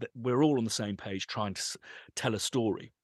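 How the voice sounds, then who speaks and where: Recorded dry and close with no echo over a quiet background, a man talks at a fairly quick pace. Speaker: composer and sample library company owner. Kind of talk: interview conversation. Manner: animated.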